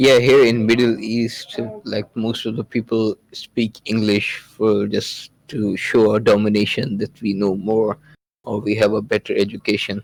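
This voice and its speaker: A man with a Pakistani accent, fairly low in pitch, at a fairly slow pace in a monotone, flat intonation, with a dry, close sound with no echo. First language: Urdu. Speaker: podcast guest. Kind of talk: casual chat. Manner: halting.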